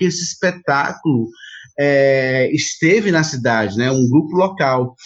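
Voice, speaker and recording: A man talks with lively intonation. He has a normal speaking voice. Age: 40s. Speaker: actor and theatre producer. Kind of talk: interview conversation.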